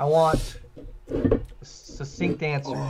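Noticeable background noise beneath a man's fairly high voice. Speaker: vegan podcaster. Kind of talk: casual chat.

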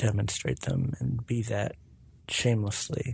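A man talks at a fairly slow pace with a fairly low pitch. His voice is somewhat breathy, with a dark, mellow tone. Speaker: podcast host. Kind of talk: casual solo monologue.

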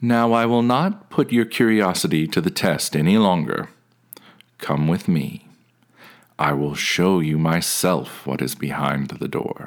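A man's put-on character voice, very deep and low, at a fairly slow pace. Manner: commanding, then angry and tired.

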